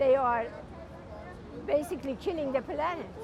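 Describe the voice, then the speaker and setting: Crowd noise fills the background as a woman talks in a high pitch. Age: 70s. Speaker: climate protester. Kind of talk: street interview.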